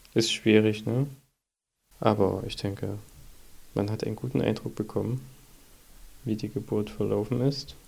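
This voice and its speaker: At a moderate pace, a man speaks with a fairly low pitch, vocal fry, ordinary pitch variation, and long, frequent pauses. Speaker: podcast host, father of a baby. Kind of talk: casual chat.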